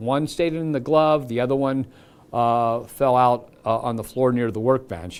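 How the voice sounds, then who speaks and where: A man with a Midwestern US accent talks at a moderate pace in a medium pitch. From Cincinnati area, Ohio. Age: 70s. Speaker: TV meteorologist. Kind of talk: live weather stream, casual chat. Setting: studio, live stream. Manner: halting.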